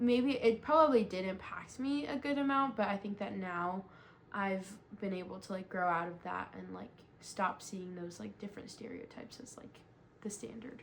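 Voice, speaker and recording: Speaking at a moderate pace in a Southern California accent, a woman has a medium pitch, ordinary pitch variation and big swings in loudness. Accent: Southern California American English. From US West Coast, Los Angeles. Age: 20s. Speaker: interviewee. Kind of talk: research interview. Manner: many fillers, like and um.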